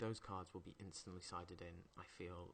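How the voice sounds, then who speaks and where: A quiet man talks at a moderate pace with fairly even intonation. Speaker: card game commentator. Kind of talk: live commentary. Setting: at home, others in next room.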